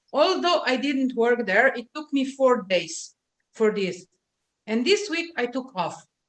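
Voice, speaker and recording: The speaker, with a Slovenian accent, uses very wide pitch swings. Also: woman. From Slovenia, Adriatic coast (Piran). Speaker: LinkedIn marketing specialist. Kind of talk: interview. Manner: hesitant, many filler sounds.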